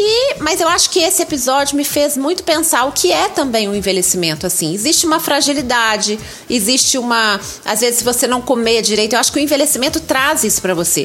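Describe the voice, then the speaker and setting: Someone with a Minas Gerais accent talks at a very fast pace, the pitch swinging very widely while the loudness stays very even, over noticeable background noise. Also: woman, high pitch for a woman. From Brazil, Minas Gerais. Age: 50s. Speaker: writer and content creator. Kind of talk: interview.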